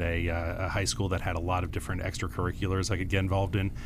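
Audible room echo surrounds a man talking at a very fast pace in a very deep, low voice. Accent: American. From US Midwest (Madison, Wisconsin and Chicago). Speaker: tech company CEO. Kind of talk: radio interview.

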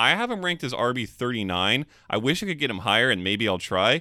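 Vocal fry marks a man's voice as he talks at a fairly quick pace with very wide pitch swings. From California. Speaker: fantasy football podcast co-host. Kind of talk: casual chat.

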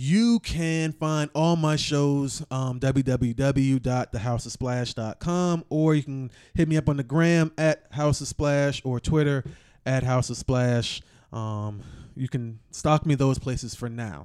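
The man speaks at a very slow pace in a dry, close sound with no echo. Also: fairly high pitch for a man, ordinary pitch variation. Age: 30s. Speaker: podcast host. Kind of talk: casual chat.

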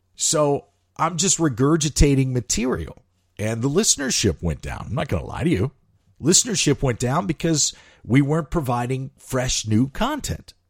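With an American accent, a man speaks at a moderate pace in a medium pitch, his voice somewhat breathy and relaxed in tone with lively intonation. The recording is very clean with a silent background, and the sound is dry and close with no echo. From US Midwest, St. Louis. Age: 40s. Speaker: television host. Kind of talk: casual podcast monologue. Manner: relaxed, conversational.

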